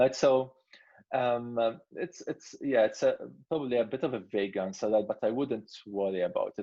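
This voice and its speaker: A man speaks with a non-native accent at a moderate pace. His pitch is medium. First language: not English. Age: 30s. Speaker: product head and creator. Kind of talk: Q&A interview. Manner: halting, many fillers and repetitions.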